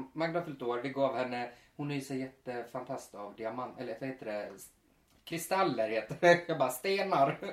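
Over noticeable background noise, a man talks at a moderate pace with ordinary pitch variation. His loudness swings widely. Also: medium pitch for a man. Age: 30s. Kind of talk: casual chat. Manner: animated.

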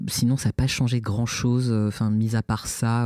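At a moderate pace and fairly low pitch, a man speaks with fairly even intonation in a dry, close sound with no echo. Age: 30s. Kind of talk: interview testimony. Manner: halting, many repetitions and hesitations.

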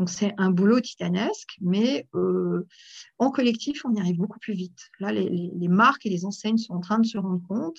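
Somewhat breathy, a woman talks at a moderate pace in a medium pitch. Her pitch varies in an ordinary way. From France, Aveyron then Paris. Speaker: association president. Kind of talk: interview. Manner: animated; hesitant, many fillers.

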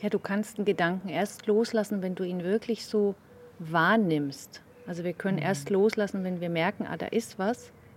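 At a moderate pace, a woman talks at a medium pitch with ordinary pitch variation in a plain, everyday voice. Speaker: meditation co-host. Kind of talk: casual conversation about meditation.

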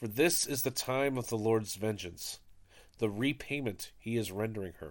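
In an ordinary speaking voice, a man speaks at a moderate pace, medium pitch and ordinary pitch variation. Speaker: podcast host leading daily prayer. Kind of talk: reading aloud and liturgical prayer. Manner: solemn, reverent.

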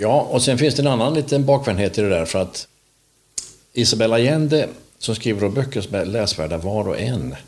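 With a plain, everyday voice, a man talks at a fairly quick pace, his medium pitch carried by lively intonation. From Småland, Sweden (Vetlanda). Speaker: podcast host. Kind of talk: casual chat.

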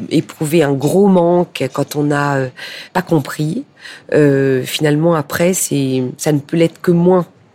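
This woman has a very deep, low pitch and a dark, mellow tone. Her intonation stays fairly even. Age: 50s. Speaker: public relations director in fashion. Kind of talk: interview.

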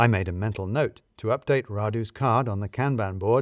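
Low in pitch, though only fairly so, a man's voice is heard. The recording is very clean, with a silent background. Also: ordinary pitch variation, moderate pace.

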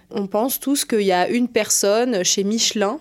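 Ordinary pitch variation marks this woman's medium-pitched speech. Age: 20s. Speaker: strategic planner in advertising. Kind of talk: interview. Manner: hesitant, many fillers.

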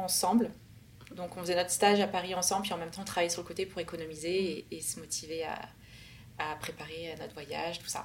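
This woman's pace is fairly quick. Her voice rests at a medium pitch. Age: 30s. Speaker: expat sharing visa experience. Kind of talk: interview testimony.

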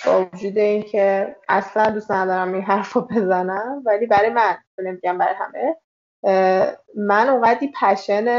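The woman's pitch sits at a medium level and her intonation is fairly even. She talks at a moderate pace. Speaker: copywriter and content manager. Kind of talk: interview conversation.

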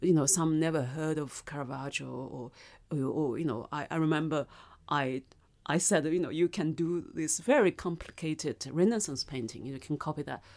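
At a moderate pace, a woman with a Chinese accent speaks in a very deep, low pitch with ordinary pitch variation. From China. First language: Mandarin. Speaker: novelist and filmmaker. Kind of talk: interview conversation. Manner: thoughtful, hesitant with fillers.

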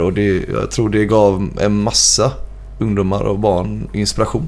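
Fairly slow speech from a man, with noticeable noise in the background and audible echo from the room. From Gothenburg, Sweden (Frölunda). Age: 20s. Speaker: metal band singer. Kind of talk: casual interview chat.

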